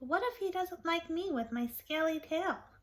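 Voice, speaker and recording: In a put-on character voice, a woman squeaks along at an extremely high pitch and a moderate pace. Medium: read story.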